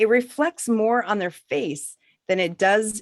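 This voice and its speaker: On a very clean recording with a silent background, a woman with an American accent speaks at a fairly slow pace with lively intonation. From United States. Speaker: author and negotiator. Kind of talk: reading aloud.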